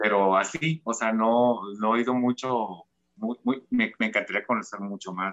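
At a fairly slow pace, a man speaks in an ordinary speaking voice. His pitch is medium, with ordinary pitch variation. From Tijuana, Mexico. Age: 40s. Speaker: fashion designer. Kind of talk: casual interview.

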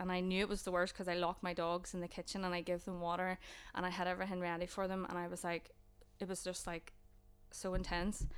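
The speech moves at a fairly quick pace in a flat, monotone way. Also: woman. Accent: Northern Irish. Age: 20s. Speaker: student mental health nurse. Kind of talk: casual chat, personal testimony.

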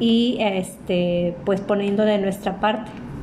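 Noticeable background noise runs behind this woman. Her pitch is medium, with ordinary variation. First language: Spanish. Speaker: interviewee answering questions on climate change. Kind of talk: interview answering questions.

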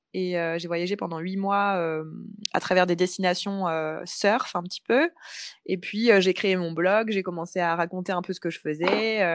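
A woman in a normal speaking voice talks at a fairly slow pace with fairly even intonation. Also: medium pitch for a woman. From France, Paris. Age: 30s. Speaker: freelance communications consultant and coach. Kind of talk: casual interview chat.

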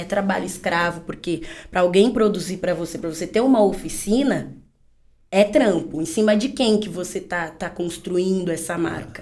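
A woman speaks at a medium pitch and a moderate pace with ordinary pitch variation. There is audible room echo. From São Paulo, Brazil. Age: 20s. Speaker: fashion entrepreneur. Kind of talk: casual interview.

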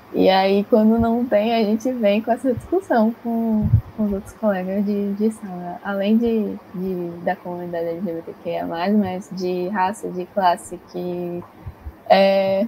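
A woman talks very slowly, her pitch varying in an ordinary way, while noticeable background noise is present. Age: young. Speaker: psychology student, podcast host. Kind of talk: interview.

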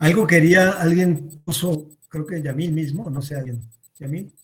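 A man speaks fairly slowly with a fairly high pitch and ordinary pitch variation. He leaves long, frequent pauses. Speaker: youth club organizer. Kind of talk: casual chat moderating Q&A.

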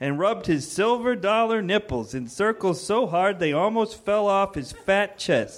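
The voice is an unforced reading voice with lively intonation.

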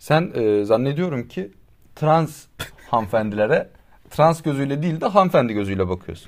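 Here a man talks in a fairly high pitch at a moderate pace. His pitch swings very widely. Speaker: podcast co-host. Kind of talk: casual chat. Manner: louder than usual.

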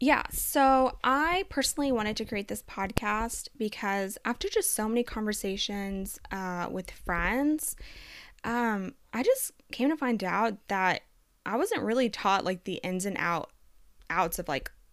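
A woman with a plain, everyday voice, fairly high in pitch, with lively intonation at a fairly slow pace, on a very clean recording with a silent background. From Texas, US (born in Colombia, moved at five). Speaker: podcast co-host. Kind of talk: casual interview chat.

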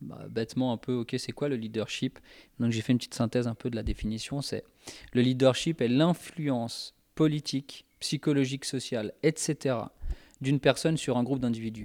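A man with an unremarkable speaking voice talks at a moderate pace and medium pitch, his intonation fairly even, in a very clean recording with a silent background and a dry, close sound with no echo. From Spanish heritage. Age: 30s. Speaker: youth leader. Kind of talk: casual chat.

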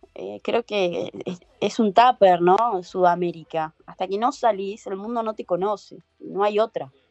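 A woman speaks at a fairly slow pace with hardly any pauses, using a plain, everyday voice at a medium pitch with ordinary pitch variation. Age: 30s. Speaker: professional surfer. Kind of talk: casual interview.

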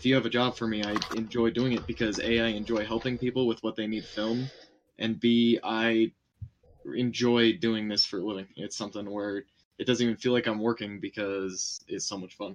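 A man speaks in an unremarkable speaking voice at a medium pitch. His pace is moderate and his intonation fairly even. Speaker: streamer guest. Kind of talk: casual chat on live stream. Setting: live stream.

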